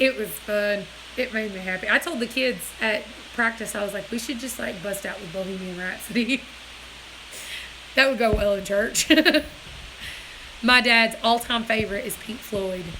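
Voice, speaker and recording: A woman with an American accent speaks at a fairly high pitch with ordinary pitch variation. She leaves long, frequent pauses over noticeable background noise. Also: moderate pace. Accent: hillbilly. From US Deep South. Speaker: livestream host. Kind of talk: casual chat. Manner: loud; animated.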